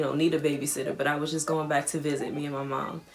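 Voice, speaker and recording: Talking very fast at a fairly high pitch, a man with an American accent is heard over noticeable background noise. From Washington DC, Southeast. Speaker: musician and vlogger. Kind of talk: casual storytime vlog. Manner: casual, conversational with fillers.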